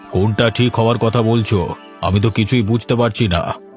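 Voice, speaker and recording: Clear music runs behind the speech. A cartoonish character voice delivers it at a moderate pace. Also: man, medium pitch for a man. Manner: curt, dismissive.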